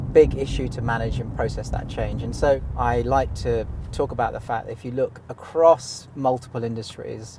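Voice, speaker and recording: In a British accent, a man speaks at a moderate pace with hardly any pauses. Noticeable background noise is present. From Britain. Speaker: insurance software company CEO. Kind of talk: interview in a car. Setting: in a car.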